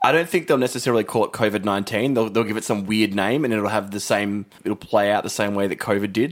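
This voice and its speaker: Speaking very fast in an Australian accent, the man has a fairly low pitch. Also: ordinary pitch variation. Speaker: podcast co-host. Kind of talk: casual chat. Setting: studio.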